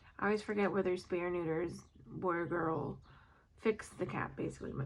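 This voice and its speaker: A woman's fairly low voice with vocal fry, fairly even intonation and a fairly quick pace. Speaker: nurse doing graduate coursework. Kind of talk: casual study-with-me vlog monologue. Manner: rambling with many fillers.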